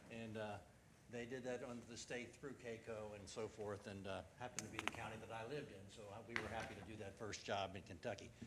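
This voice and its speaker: Talking at a very fast pace, a man keeps a fairly low pitch and fairly even intonation. Noticeable background noise and audible room echo surround him. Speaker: company president giving sales presentation. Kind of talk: sales pitch.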